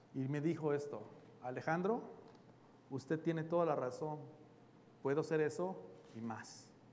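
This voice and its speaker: Amid audible room echo, a man talks at a fairly slow pace with ordinary pitch variation. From Mexico. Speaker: pastor. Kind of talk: sermon.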